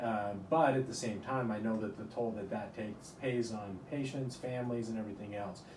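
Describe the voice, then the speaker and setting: Over noticeable background noise, a man speaks fairly quickly with fairly even intonation and hardly any pauses. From rural Utah, US. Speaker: neurosurgeon; interviewee. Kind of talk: interview. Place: office.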